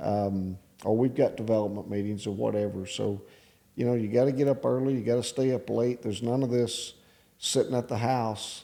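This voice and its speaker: Dark, mellow tone with a West Texas accent and fairly even intonation. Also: man. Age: 60s. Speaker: real estate developer and business owner. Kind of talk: casual interview. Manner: halting.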